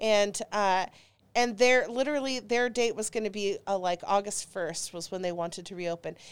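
A woman's medium-pitched voice at a moderate pace with ordinary pitch variation, on a very clean recording with a silent background. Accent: American. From Dallas, Texas. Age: 40s. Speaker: comedian. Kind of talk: casual chat. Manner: animated.

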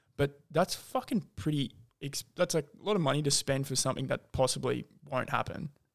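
A fairly high-pitched man in an Australian accent, with vocal fry, ordinary pitch variation and a moderate pace. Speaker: podcast host. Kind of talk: casual chat.

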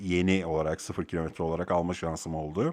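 A man's voice against a quiet background. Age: 40s. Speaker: podcast host, software engineer. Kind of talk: casual monologue. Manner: halting, frequent fillers.

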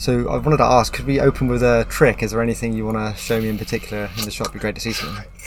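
With noticeable background noise, a man talks at a very fast pace with hardly any pauses. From Plymouth, England. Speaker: podcast host. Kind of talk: casual interview. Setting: in a magic shop beside a road.

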